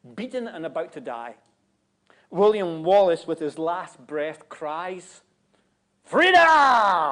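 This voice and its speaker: A man with a Scottish accent and a high pitch, bright and sharp in tone, at a very slow pace with long, frequent pauses and big swings in loudness. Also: lively intonation. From Scotland. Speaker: guest preacher. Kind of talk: sermon. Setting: church.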